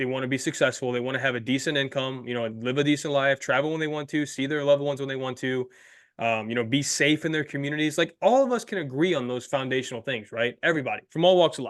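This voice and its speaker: In a quiet background, a man with a fairly high pitch talks at a very fast pace with hardly any pauses, an animated tone, and ordinary pitch variation. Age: 20s. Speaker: podcast host. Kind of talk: casual chat.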